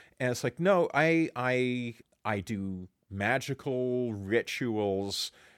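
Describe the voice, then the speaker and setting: A very clean recording over a silent background catches a man talking at a very slow pace. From Canada. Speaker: musicology professor and podcast co-host. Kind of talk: casual conversational chat.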